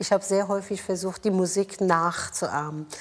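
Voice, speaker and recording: With a Persian accent, a woman talks at a fairly slow pace, her medium pitch showing ordinary variation. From Iran, Tehran. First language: Persian (speaking German). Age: 50s. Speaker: mayor and politician. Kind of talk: interview. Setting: office.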